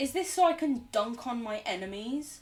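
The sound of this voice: A woman puts on a nasal character voice with a high pitch. She keeps to a moderate pace.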